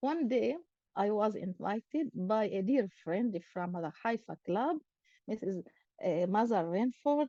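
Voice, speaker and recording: A woman with an Arabic accent and a fairly high pitch talks at a fairly slow pace with lively intonation and a dark, mellow tone, in a dry, close sound with no echo. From Israel, Akko. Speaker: academic and club president. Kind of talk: personal talk to an online meeting. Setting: video call.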